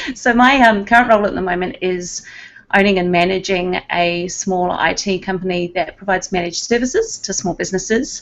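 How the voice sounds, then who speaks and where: A woman with a strong New Zealand accent, medium pitch, ordinary pitch variation and a fairly quick pace. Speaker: IT business owner. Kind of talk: casual panel chat.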